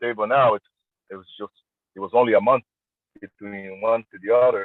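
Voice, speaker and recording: The speaker has a Brazilian Portuguese accent. The pitch varies in an ordinary way. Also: man. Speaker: armwrestler. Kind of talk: interview. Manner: halting.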